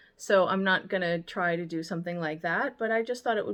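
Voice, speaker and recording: A woman talks at a fairly quick pace with ordinary pitch variation against a quiet background. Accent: American. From United States. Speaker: vlogger and baker. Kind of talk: casual language tutorial vlog. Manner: casual with frequent fillers.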